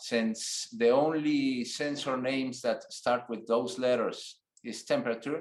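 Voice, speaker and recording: A man with a non-native accent, at a fairly slow pace, with fairly even intonation. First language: not English. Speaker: technical instructor. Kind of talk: tutorial. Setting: online webinar with screen share. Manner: halting, with fillers.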